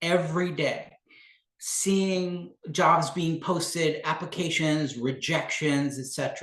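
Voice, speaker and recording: This man has a high pitch and a fairly slow pace. His intonation stays fairly even. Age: 60s. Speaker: career coach. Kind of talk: live webinar Q&A presentation. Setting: LinkedIn live stream.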